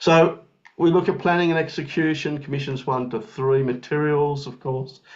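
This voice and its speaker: The pace here is moderate. The voice comes with an Australian accent. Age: young. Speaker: president of international engineering federation. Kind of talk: webinar presentation. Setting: online webinar. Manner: halting, many fillers.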